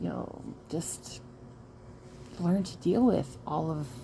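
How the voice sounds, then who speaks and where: A woman speaks at a very slow pace with an American accent. Her voice is somewhat breathy, with a dark, mellow tone. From Michigan. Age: 40s. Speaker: trauma survivor vlogger. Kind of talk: personal testimony vlog. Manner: halting, frequent fillers.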